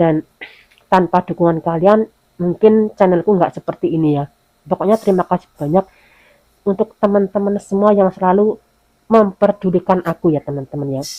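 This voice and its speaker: Dark and mellow in tone, a woman's voice moves at a fairly quick pace with ordinary pitch variation. The sound is dry and close with no echo. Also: medium pitch for a woman. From Indonesia. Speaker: domestic worker vlogger. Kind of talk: casual vlog talk.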